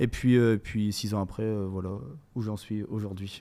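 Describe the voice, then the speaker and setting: In a very clean recording with a silent background, a man speaks in a fairly low pitch with a dark, mellow tone. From northern France, Saint-Omer. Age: 20s. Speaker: rapper. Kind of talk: casual interview.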